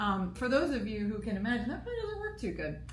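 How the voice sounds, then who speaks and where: A woman with a strong New York accent speaks in very wide pitch swings. Audible room echo and noticeable background noise surround her. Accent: thick New York. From US East Coast, New York. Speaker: radio co-host and producer. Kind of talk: casual chat. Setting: live broadcast at political convention.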